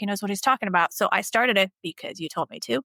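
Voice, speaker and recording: A woman speaks very fast at a medium pitch, with vocal fry. The recording is very clean and dry, close with no echo, over a silent background. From Bosnia. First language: not English. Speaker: dermatologist. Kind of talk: podcast interview.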